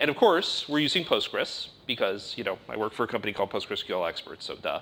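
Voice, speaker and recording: A man speaks loudly at a fairly quick pace. His tone is bright and sharp, with lively intonation. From United States. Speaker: conference speaker. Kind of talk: technical talk. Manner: fast.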